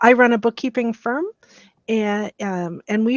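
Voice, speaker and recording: A woman speaks with a Canadian accent in a normal speaking voice. Her pace is fairly slow, with ordinary pitch variation. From Canada, Winnipeg, Manitoba. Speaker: bookkeeping firm owner. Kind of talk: panel introduction.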